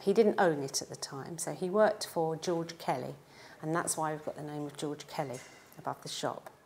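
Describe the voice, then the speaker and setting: The speaker is a woman. She talks in a London accent. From East London. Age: 60s. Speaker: pie and mash shop owner. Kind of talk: oral history interview. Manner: hesitant, with frequent fillers.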